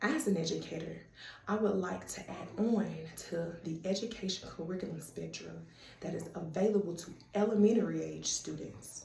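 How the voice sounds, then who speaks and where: A woman with a Southern US accent speaks at a moderate pace, her loudness swinging widely. Audible room echo and noticeable background noise fill the recording. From US South, Tennessee (Murfreesboro, Chattanooga). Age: 30s. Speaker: student. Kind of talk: self-introduction video.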